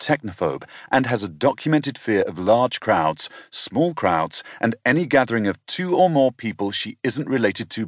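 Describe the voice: The text is read out plainly. Its intonation is lively, though.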